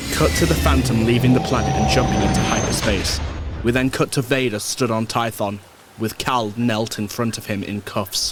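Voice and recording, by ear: Faint music sits in the background as a man speaks at a medium pitch. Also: ordinary pitch variation, moderate pace.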